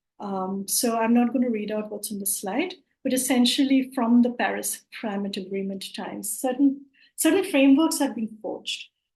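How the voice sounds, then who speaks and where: A fairly high-pitched woman with a Bengali accent, lively intonation, big swings in loudness and a moderate pace. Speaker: climate justice network organiser. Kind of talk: online presentation. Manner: hesitant, many fillers.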